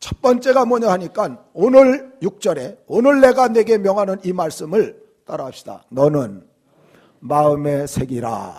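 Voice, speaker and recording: The man's voice is high, with very wide pitch swings, and he speaks at a fairly slow pace. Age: 60s. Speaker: pastor. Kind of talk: sermon. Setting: church.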